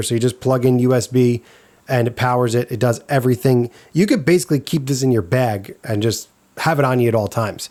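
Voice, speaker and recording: A man talks very fast at a medium pitch, his pitch varying in an ordinary way. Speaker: guitarist and gear reviewer. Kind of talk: product review. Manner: casual, conversational.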